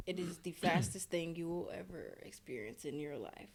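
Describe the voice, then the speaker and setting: A woman speaks at a moderate pace with ordinary pitch variation. Her pitch is fairly low. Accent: Louisiana. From Louisiana, US South. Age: 20s. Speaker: paramedic student. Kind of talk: interview. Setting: hotel.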